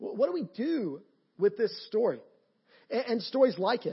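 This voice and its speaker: A man with a Georgia accent at a moderate pace. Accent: Georgia Southern American. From US South. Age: 30s. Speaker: pastor. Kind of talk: sermon. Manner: halting.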